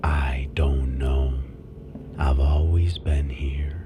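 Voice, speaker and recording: Faint music plays in the background as a man uses a put-on character voice at a very slow pace. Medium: audio drama. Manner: calm, solemn.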